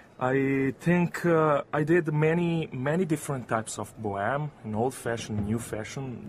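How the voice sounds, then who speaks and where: A man with a medium pitch speaks using lively intonation. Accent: Italian. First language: Italian. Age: young. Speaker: opera singer. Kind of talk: interview. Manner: halting.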